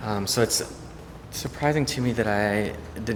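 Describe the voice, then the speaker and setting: With noticeable background noise behind him, a man talks at a fairly low pitch, his pitch varying in an ordinary way. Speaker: ophthalmology resident and video blogger. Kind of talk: casual vlog narration. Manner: fast; casual, many fillers.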